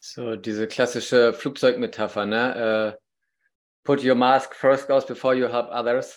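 On a very clean recording with a silent background, a man at medium pitch speaks at a fairly slow pace in a monotone, flat intonation. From northern Germany, Baltic coast. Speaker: podcast host, father. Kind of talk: casual interview chat.

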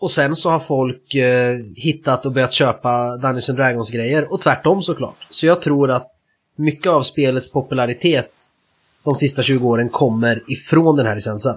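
A man's medium-pitched, somewhat breathy voice moves with ordinary pitch variation. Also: moderate pace. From Sweden. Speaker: tabletop roleplaying game podcast co-host. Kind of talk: casual chat.

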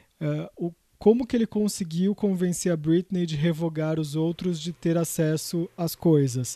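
In a dry, close recording with no echo and a quiet background, a man talks at a fairly slow pace in a dark, mellow tone with ordinary pitch variation. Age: 30s. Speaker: culture editor and journalist. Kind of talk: casual chat.

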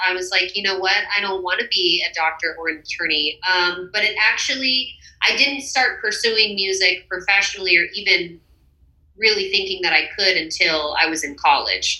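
Over noticeable background noise, a woman with an American accent speaks at medium pitch. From Texas. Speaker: singer-songwriter. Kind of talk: casual interview.

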